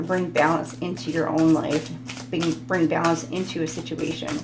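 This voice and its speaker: Noticeable background noise mixes with an audible room echo. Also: woman. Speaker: tarot reader. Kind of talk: tarot reading monologue. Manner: halting, many fillers.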